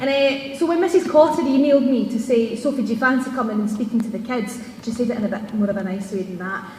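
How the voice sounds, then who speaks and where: Loud and high-pitched, a woman with a Scottish accent speaks at a very fast pace with hardly any pauses and ordinary pitch variation, amid noticeable background noise and audible room echo. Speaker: TV presenter. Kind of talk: speech. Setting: stage with audience.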